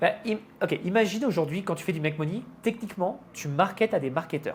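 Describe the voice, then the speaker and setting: A man talks at a fairly quick pace in a high voice. His pitch varies in an ordinary way. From France. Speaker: online entrepreneur. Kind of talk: podcast interview.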